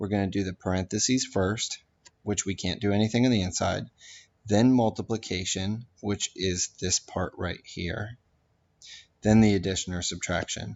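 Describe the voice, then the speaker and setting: A man with a normal speaking voice talks at a moderate pace in a fairly low pitch, his intonation fairly even. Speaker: math teacher. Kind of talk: tutorial.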